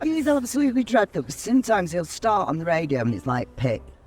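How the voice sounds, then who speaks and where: A somewhat breathy voice with a Mancunian accent, very wide pitch swings and a moderate pace. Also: man. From Manchester, England. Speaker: radio host. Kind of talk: casual chat.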